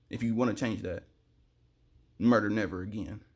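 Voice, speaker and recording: A fairly quick pace in a very clean recording with a silent background. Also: man. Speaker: vlogger. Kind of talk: monologue to camera. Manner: fast; animated.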